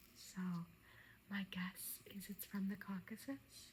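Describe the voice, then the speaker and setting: The voice is soft-spoken. It moves at a very slow pace. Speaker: antique arms and armor collector, ASMR creator. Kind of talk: ASMR show and tell.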